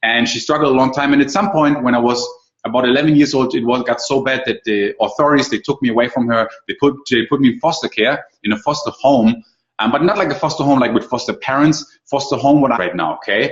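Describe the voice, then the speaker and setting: A man at medium pitch with ordinary pitch variation, talking at a very fast pace. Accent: German. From Germany. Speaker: online marketing coach. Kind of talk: webinar presentation. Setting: live online call.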